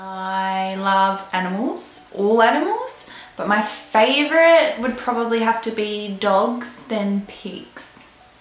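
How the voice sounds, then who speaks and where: Amid noticeable background noise, a woman with an Australian accent speaks at a very slow pace and a fairly high pitch. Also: ordinary pitch variation, hardly any pauses. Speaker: vlogger and model. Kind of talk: casual vlog talk.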